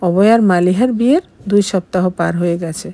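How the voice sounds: A woman's dark, mellow tone at a fairly low pitch, with ordinary pitch variation. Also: moderate pace.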